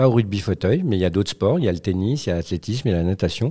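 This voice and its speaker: This man's voice is very deep and low, with a dark, mellow tone. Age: 50s. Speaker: wheelchair rugby player and paralympic athlete. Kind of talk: interview. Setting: school, in front of students.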